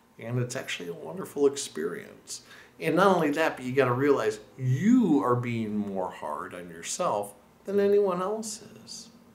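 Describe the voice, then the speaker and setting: Heard over noticeable background noise, a speaker with an American accent shows very wide pitch swings and big swings in loudness. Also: man, fairly high pitch for a man, moderate pace. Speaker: language teacher. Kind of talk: casual tutorial monologue. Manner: animated, conversational with fillers.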